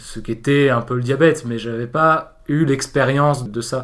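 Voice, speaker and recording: A man talks at a moderate pace in a plain, everyday voice. His pitch is medium, and his intonation is fairly even. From southern France. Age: 20s. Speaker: university student. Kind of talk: interview.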